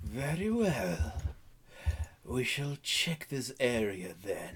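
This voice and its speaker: In a put-on character voice, a man booms at a very slow pace, his medium pitch making very wide swings. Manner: imperious, menacing.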